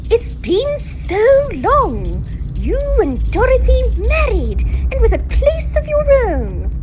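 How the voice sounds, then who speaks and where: Amid loud background noise, a woman puts on a character voice and speaks at a fairly slow pace. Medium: audio drama.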